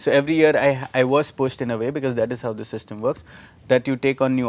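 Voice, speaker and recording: Fairly even in intonation, a man with an Indian accent talks at a very fast pace. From India, Nashik (Maharashtra). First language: Marathi. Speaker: student organization leader. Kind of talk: interview. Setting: live video stream.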